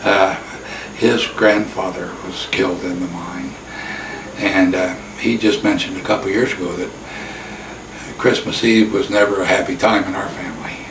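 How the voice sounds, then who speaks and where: A man with an American accent speaks in a fairly low voice at a moderate pace, leaving long, frequent pauses, his loudness swinging widely. Noticeable background noise and audible room echo fill the recording. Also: ordinary pitch variation. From US Midwest, central Illinois. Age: 80s+. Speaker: retired navy veteran, local interviewee. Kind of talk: oral history interview. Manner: halting.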